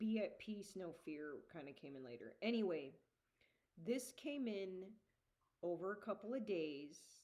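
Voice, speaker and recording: Speaking loudly at a fairly slow pace, a woman uses a medium pitch with very wide pitch swings. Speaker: geologist and spiritual channeler. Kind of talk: casual monologue vlog. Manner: halting. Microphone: usually too quiet in recordings.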